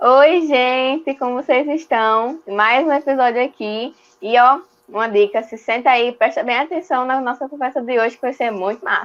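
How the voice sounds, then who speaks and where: This woman has a high-pitched voice and a moderate pace. Her pitch varies in an ordinary way. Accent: northeastern Brazilian. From Northeast Brazil, João Pessoa. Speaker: church youth and children's worker. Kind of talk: casual chat.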